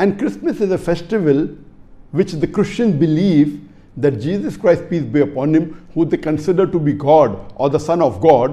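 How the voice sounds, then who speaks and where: A man with a fairly high pitch and vocal fry at a moderate pace. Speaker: Islamic scholar giving a religious lecture answer. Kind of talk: religious lecture / question-and-answer talk. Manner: explanatory, lecturing.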